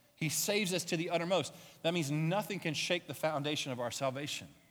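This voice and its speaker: A man speaks at a moderate pace in a high voice. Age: 40s. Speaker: pastor. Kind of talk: sermon.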